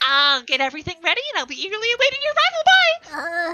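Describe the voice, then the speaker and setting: Using a put-on character voice, a woman races along at a very fast pace with an extremely high pitch. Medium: virtual streamer. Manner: eager, friendly.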